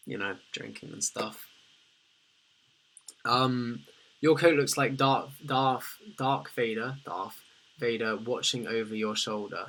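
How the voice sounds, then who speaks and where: A man with a British accent talks at a very slow pace. He leaves long, frequent pauses. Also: medium pitch for a man, ordinary pitch variation. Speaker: livestreamer. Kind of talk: casual livestream chat reading comments.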